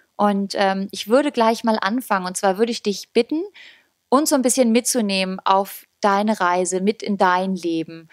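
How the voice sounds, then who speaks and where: At medium pitch and a moderate pace, a woman speaks with ordinary pitch variation. The sound is dry with no echo over a quiet background. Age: young. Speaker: volunteer interviewer. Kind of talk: interview questions. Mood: gentle, respectful. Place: home room. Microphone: handheld.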